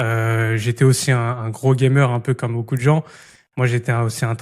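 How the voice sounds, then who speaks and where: Against a silent background in a very clean recording, a man speaks at a medium pitch with monotone, flat intonation. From Île-de-France, France. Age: 20s. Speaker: podcast host and entrepreneur. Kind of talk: casual interview chat. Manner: casual, many hesitations.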